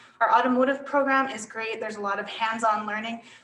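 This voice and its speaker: Noticeable background noise runs behind a woman with a fairly high pitch. She speaks at a very fast pace with fairly even intonation. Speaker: college representative. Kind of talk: online presentation. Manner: loud.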